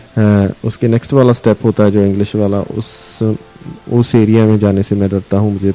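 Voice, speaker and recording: A man speaks in a fairly low pitch, with music in the background. The sound is dry and close, with no echo. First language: Punjabi (speaking Hindi). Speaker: radio host. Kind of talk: interview. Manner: hesitant, many fillers.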